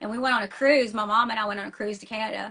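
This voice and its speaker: Talking very fast in a Tennessee accent, a woman has a bright, sharp tone and ordinary pitch variation. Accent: Southern US (Tennessee), noticeable. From US South, small-town Tennessee. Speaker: metal band singer and schoolteacher. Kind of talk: casual interview. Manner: fast, many fillers and restarts; animated.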